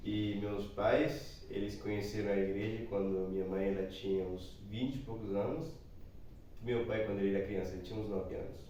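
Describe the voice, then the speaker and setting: Amid noticeable background noise and audible room echo, a man speaks at a moderate pace and fairly low pitch with fairly even intonation. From Chile. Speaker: missionary. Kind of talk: personal testimony.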